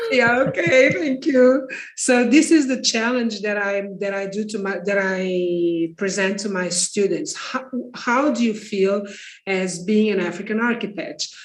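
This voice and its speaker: Lively intonation fills the voice of a woman with a Portuguese accent who speaks at a medium pitch and a fairly slow pace. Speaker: architect and architecture teacher. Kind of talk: panel discussion. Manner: halting.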